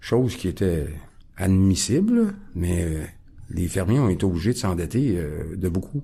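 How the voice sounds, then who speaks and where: The voice has a dark, mellow tone, sounds somewhat breathy and moves at a fairly slow pace with lively intonation. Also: man. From Quebec, Montreal (Ahuntsic). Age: 60s. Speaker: recovering alcoholic guest. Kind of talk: testimony. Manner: halting, many hesitations.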